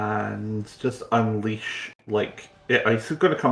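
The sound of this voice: With fairly even intonation, the speaker reads in an unforced reading voice.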